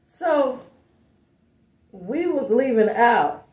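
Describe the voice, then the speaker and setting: A dark, mellow tone with audible room echo. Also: woman. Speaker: vlogger. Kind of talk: storytime chat. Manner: loud; animated.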